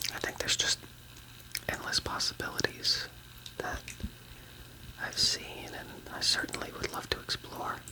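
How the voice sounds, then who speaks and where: A man whispers at a moderate pace with long, frequent pauses while noticeable background noise runs behind him. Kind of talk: ASMR whisper. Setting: outdoors by a fountain. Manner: whispered, soft-spoken.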